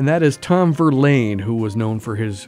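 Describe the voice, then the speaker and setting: A man is speaking. His intonation is lively. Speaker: radio DJ. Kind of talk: radio music show. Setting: studio.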